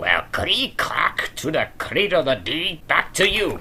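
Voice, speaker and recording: Someone uses a put-on character voice at a fairly slow pace. Background noise is clearly audible. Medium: audio drama. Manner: jokey, loose.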